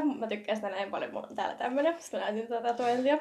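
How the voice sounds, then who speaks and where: A woman speaks at a very fast pace in a high voice. Her intonation is lively. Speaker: podcast host. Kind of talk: casual chat. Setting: home.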